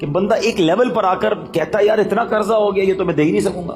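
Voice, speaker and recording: A high-pitched man with lively intonation, with music in the background. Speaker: Islamic preacher giving a bayan. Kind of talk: Islamic sermon (bayan) to a live audience. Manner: emotional, exhortative, direct address to audience.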